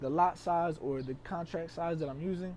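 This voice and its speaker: This man has a fairly high pitch and a dark, mellow tone. He talks at a fairly quick pace with fairly even intonation. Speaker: trading educator. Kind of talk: tutorial. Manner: fast.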